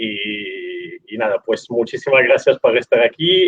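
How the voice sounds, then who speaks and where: Speaking at a fairly slow pace, a man talks in an Italian accent. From Italy. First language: Italian (speaking Spanish). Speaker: rugby podcast host. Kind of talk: live interview.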